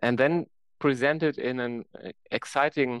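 Fairly slow speech from a man with a German accent, ordinary pitch variation, a dry, close sound with no echo, and a very clean recording against a silent background. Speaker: science performer. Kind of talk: interview. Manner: animated; halting.

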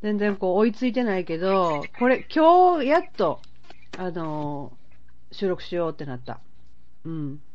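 In an Osaka accent, a woman at medium pitch speaks fairly slowly with very wide pitch swings and long, frequent pauses, her voice carrying audible room echo. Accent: Kansai (Osaka) Japanese. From Osaka, Tsurumi ward. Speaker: podcast host. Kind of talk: casual chat. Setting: phone call.

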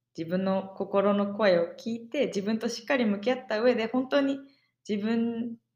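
A woman talks at a moderate pace in a somewhat breathy, fairly high voice with ordinary pitch variation. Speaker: podcast co-host, exchange student. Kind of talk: casual chat.

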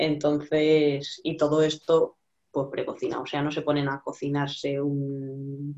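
A woman speaks with a very deep, low pitch and monotone, flat intonation. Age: 20s. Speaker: fitness client. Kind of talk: casual chat.

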